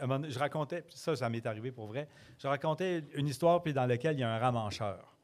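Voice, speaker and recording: A slight Quebec accent with ordinary pitch variation. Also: man. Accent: Quebec French, mild. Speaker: storyteller. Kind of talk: casual interview. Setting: pub with live audience.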